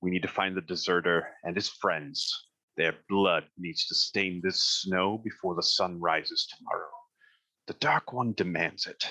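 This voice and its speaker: A man's put-on character voice, gruff and very deep, at a moderate pace. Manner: menacing, commanding.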